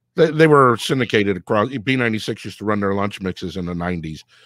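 Against a quiet background, a man with a Chicago accent talks at a moderate pace and fairly low pitch, the sound dry with no echo. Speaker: radio producer and show host; radio producer, show host. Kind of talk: casual interview chat. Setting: live online show. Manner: animated. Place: home room. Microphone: video call.

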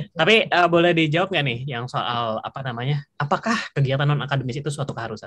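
The speech races along at a very fast pace with hardly any pauses. Intonation is lively, and the background is quiet. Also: man, fairly high pitch for a man. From Indonesia. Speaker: webinar moderator, scholarship alumnus; webinar moderator. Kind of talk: casual webinar moderation. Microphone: video call.

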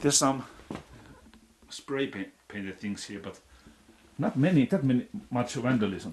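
With a Finnish accent, a man speaks at a fairly slow pace, with long, frequent pauses, big swings in loudness and light background noise. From Finland. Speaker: urban explorer vlogger. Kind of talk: casual solo vlog narration. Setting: outdoors, exploring abandoned building. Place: home room. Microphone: phone near.

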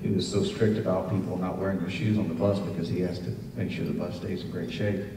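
A man with a very deep, low pitch at a fairly quick pace, with fairly even intonation, audible room echo and light background noise. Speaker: guest. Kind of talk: speech with a personal anecdote. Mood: warm, humorous storytelling. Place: hall.

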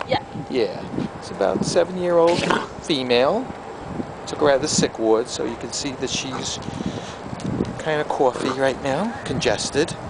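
Through loud background noise, a man talks at a moderate pace with long, frequent pauses. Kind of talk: casual commentary and baby talk to dogs. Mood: warm, affectionate, light laughs. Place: street. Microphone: phone near.

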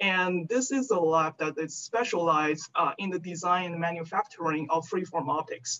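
With a Chinese accent, a woman speaks at a fairly low pitch and a moderate pace, using ordinary pitch variation over light background noise. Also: hardly any pauses. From China. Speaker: research scientist. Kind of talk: lecture; Q&A answer. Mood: friendly, thoughtful. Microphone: video call.

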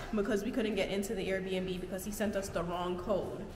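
Music plays in the background as a woman speaks, with audible room echo. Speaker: vlogger. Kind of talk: casual vlog storytime. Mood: annoyed, recounting bad night. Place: home room. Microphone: phone near.

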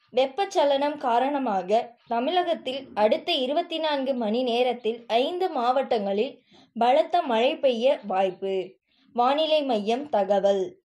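A woman speaks with a high pitch and a dark, mellow tone, her intonation lively. The recording is very clean, with a silent background. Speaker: news reader. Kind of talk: news headlines read.

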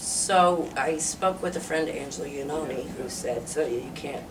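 A woman with a very deep, low pitch talks amid noticeable background noise. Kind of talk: interview answer. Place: meeting room. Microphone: camera far.

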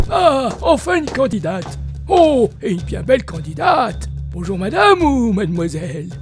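A cartoonish character voice talks at a moderate pace. Clear music plays in the background. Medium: puppet. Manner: flirtatious, theatrical.

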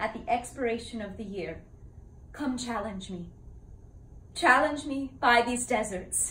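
A woman speaks at a fairly slow pace in a bright, sharp tone, with big swings in loudness and ordinary pitch variation. Room echo is audible. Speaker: actor performing a classical role. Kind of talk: dramatic monologue. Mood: earnest, sorrowful. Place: home room. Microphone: camera far.

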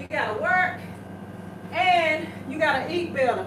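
A woman speaks over noticeable background noise. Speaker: home workout host. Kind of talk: casual fitness advice to viewers. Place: gym. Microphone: camera far.

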